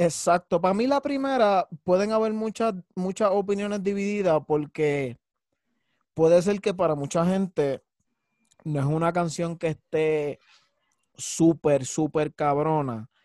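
The speaker has a Puerto Rican accent and lively intonation, going at a fairly slow pace with long, frequent pauses. The recording is dry and close, with no echo. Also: man, high pitch for a man. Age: 30s. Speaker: podcast co-host. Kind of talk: casual chat.

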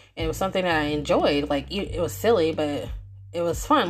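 With music in the background and audible room echo, a woman mumbles at a fairly quick pace. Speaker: podcast host and writer. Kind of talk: casual monologue. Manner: fast; mumbling.

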